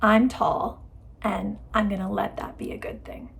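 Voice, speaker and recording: A woman speaks loudly. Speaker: lifestyle YouTuber. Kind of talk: casual advice talk to camera.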